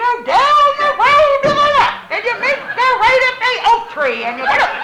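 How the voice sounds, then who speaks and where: Shouting in a put-on character voice, the speaker uses an extremely high pitch at a moderate pace. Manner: screaming at top of his lungs.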